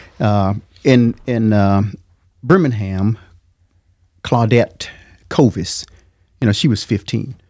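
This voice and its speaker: A man with an Alabama accent, medium pitch and ordinary pitch variation, a dark, mellow tone, a very slow pace and long, frequent pauses. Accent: Southern US (Alabama). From Alabama, US South. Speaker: military veteran, father of co-host. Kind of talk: casual interview conversation.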